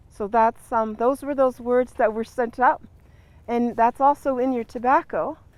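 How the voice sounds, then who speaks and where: At a fairly slow pace, a woman with a Great Lakes accent speaks with ordinary pitch variation. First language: Ojibwe. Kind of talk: ceremonial teaching. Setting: outdoors in a garden.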